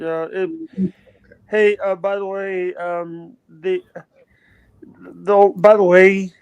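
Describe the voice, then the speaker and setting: The speaker talks at a very slow pace with a Southern US accent. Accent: Southern twang. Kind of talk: casual chat. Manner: halting, repetitive.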